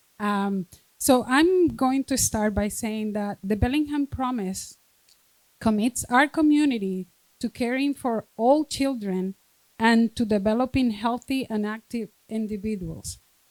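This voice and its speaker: Delivered at a fairly slow pace with a strong Spanish accent, the voice has a dry, close sound with no echo. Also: woman, fairly high pitch for a woman, ordinary pitch variation. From Dominican Republic. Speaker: school district administrator. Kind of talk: reading aloud. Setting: stage with audience.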